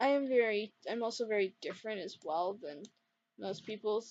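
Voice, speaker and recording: Quiet and fairly high in pitch, a woman speaks at a moderate pace. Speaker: gaming YouTuber. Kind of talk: gameplay commentary. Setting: dorm room at night. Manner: quiet, lowered voice; rambling, hesitant.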